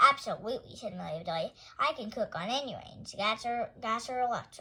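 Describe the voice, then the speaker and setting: A woman's put-on character voice, high in pitch, with ordinary pitch variation, big swings in loudness and a fairly quick pace. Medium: read story. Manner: earnest, literal.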